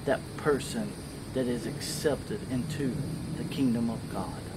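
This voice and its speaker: The speech moves at a moderate pace. Loud background noise runs underneath it. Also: man. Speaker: lay preacher. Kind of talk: sermon. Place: garden.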